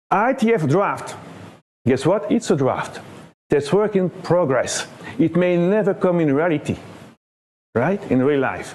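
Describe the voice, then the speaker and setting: High-pitched male speech with lively intonation, very even loudness, a fairly slow pace and long, frequent pauses. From Belgium. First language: French. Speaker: internet standards body area director, conference speaker. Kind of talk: conference talk. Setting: conference room with audience.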